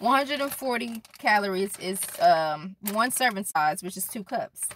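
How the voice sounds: A woman speaks fairly slowly at medium pitch. Her tone is fairly bright and her intonation lively.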